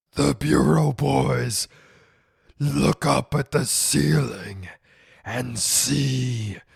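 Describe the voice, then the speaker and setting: A man in a put-on character voice growls slowly and very deliberately, his fairly low pitch swinging very widely with a smug, menacing tone and long, frequent pauses. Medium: audio drama.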